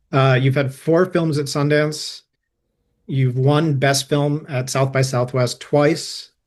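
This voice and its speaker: A man's somewhat breathy voice at a medium pitch, very slow in pace, with fairly even intonation. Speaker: podcast host. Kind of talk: interview.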